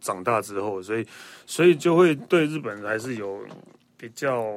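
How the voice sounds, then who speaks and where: An ordinary speaking voice moves with lively intonation. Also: man. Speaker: podcast host. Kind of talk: casual chat.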